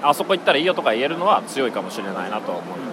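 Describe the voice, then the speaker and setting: Audible room echo and noticeable background noise surround the voice. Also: man. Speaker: podcast host. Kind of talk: casual chat. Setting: hotel restaurant.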